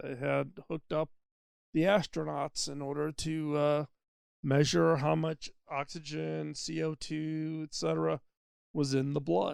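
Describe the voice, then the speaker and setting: At a moderate pace, a man talks in a dry, close recording with no echo. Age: 60s. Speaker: podcast host. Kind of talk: solo podcast monologue. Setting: mobile studio. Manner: conversational with fillers.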